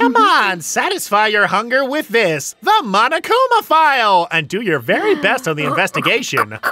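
In a put-on character voice with a fairly high pitch and a playful tone, the speaker keeps a moderate pace with hardly any pauses. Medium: game stream. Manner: playful, mocking, sing-song.

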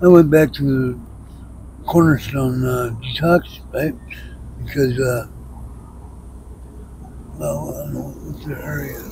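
A man with an American accent, long and frequent pauses, big swings in loudness, and noticeable background noise. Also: fairly slow pace, dry sound with no echo. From New York. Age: 50s. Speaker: homeless man in recovery. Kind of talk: street interview answer. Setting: outdoors, traffic noise. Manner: soft-spoken. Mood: sorrowful, resigned. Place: street. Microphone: lapel.

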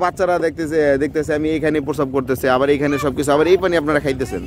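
A plain, everyday voice comes through with light background noise and a dry sound with no echo. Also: man. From Bangladesh. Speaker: YouTube interviewer. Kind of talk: street interview. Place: waterside.

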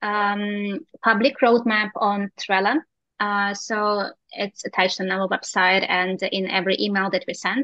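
A woman talks at a fairly slow pace with fairly even intonation, the sound dry with no echo and the background quiet. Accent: non-native. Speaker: software company representative. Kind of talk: product presentation. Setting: video call. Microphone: video call.

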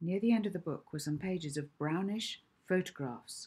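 Her lively intonation rides on a fairly low pitch as the woman speaks with a slightly mellow tone and a slightly husky edge.

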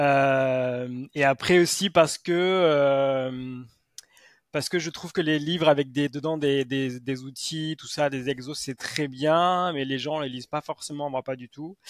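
Against a quiet background with a dry sound and no echo, a man speaks very slowly in a fairly high voice, his intonation fairly even but his loudness swinging widely. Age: 40s. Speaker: sports psychologist and author; guest. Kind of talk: interview. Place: home room. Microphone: headset.

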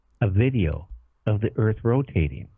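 Music plays in the background as a man speaks with an American accent. His pitch swings very widely at a moderate pace. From US Pacific Northwest, Whidbey Island, Washington. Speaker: radio talk show host. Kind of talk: radio interview.

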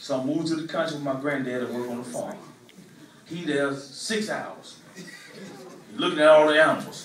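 A man with a fairly high pitch and ordinary pitch variation speaks at a moderate pace, taking long, frequent pauses with big swings in loudness, amid light background noise and audible room echo. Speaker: comedian. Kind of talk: stand-up. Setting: stage with audience. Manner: animated. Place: stage.

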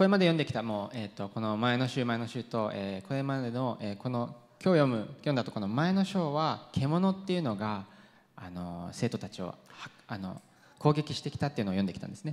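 With an English accent, the voice moves through very wide pitch swings. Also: man, medium pitch for a man, fairly quick pace. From UK. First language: English (speaking Japanese). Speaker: pastor. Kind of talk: sermon. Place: church. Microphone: handheld.

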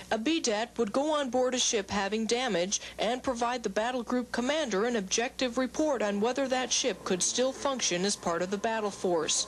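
Someone with a plain, everyday voice talks at a moderate pace with ordinary pitch variation. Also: woman. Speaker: Navy journalist reporter. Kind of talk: scripted news report narration, polished broadcast delivery. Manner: formal, steady, even-paced.

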